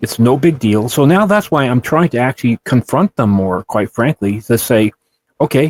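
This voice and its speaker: In a plain, everyday voice, a man talks with lively intonation and very even loudness, and the sound is dry and close with no echo. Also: medium pitch for a man, moderate pace. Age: 60s. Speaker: abduction podcast co-host. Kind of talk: casual chat.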